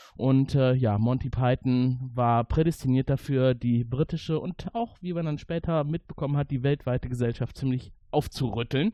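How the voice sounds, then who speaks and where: A man talks in a plain, everyday voice at medium pitch and moderate pace, his intonation fairly even. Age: 40s. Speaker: podcast host. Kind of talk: casual chat.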